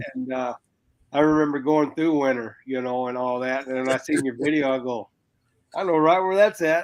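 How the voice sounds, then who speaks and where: A man with a plain, everyday voice and ordinary pitch variation delivers his words at a fairly quick pace. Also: fairly high pitch for a man. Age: 60s. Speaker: biker. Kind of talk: casual chat.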